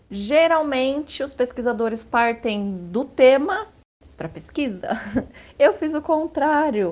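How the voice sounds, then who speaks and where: A woman speaks in a high voice at a very slow pace. Her pitch swings very widely. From São Bernardo do Campo, Brazil. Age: 40s. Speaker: history teacher. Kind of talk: interview. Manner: hesitant with fillers.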